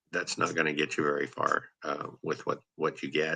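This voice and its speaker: Bright and sharp in tone with vocal fry, a man's voice moves at a moderate pace. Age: 60s. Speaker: general contractor and real estate investor. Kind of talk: casual chat. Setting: live stream.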